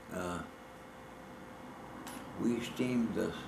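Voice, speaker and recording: With fairly even intonation, a man speaks at a very slow pace while noticeable background noise continues. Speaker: World War II Navy veteran, former radio man. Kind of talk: oral history reminiscence.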